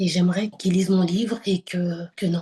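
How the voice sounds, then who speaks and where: A woman's voice has a dark, mellow tone and is somewhat breathy. Her intonation is flat and monotone. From France (born in Lisbon, arrived age 6). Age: 40s. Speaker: writer. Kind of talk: interview. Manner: hesitant, many filler sounds.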